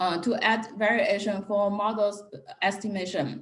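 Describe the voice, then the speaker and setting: A woman speaks at a fairly slow pace in a medium pitch, her voice somewhat breathy, with audible room echo. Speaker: economics researcher. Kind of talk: academic seminar talk.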